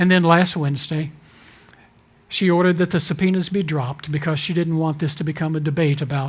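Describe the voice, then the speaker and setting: Fairly quick and fairly even in intonation, this man talks at a fairly high pitch. He has an ordinary speaking voice. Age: 60s. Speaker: denominational leader. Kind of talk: talk to a church audience.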